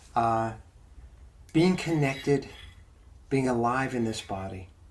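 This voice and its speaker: A man's calm tone at a fairly slow pace, with audible room echo. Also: medium pitch for a man, ordinary pitch variation. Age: 60s. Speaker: pastor leading a Bible study. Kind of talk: mindful Bible study talk. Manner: calm, reflective.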